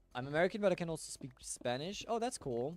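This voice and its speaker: A man with a German accent talks at a fairly quick pace, his fairly high voice swinging very widely in pitch. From Germany. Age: 20s. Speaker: gaming streamer. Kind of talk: casual chat. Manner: relaxed.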